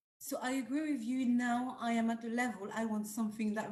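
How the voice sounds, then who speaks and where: A woman with a French accent, fairly high and somewhat breathy, at a moderate pace with fairly even intonation. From France. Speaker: group panelist. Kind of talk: casual chat. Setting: video call.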